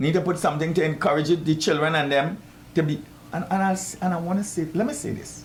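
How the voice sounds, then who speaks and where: In a Trinidadian accent, a man with a fairly high pitch talks at a very fast pace. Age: 70s. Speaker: boxing coach. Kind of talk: talk show interview. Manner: animated.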